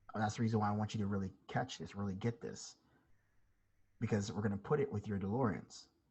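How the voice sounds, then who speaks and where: A man's fairly low, somewhat breathy voice at a very fast pace, fairly even in intonation, with long, frequent pauses. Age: 20s. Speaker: trading instructor. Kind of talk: live online class.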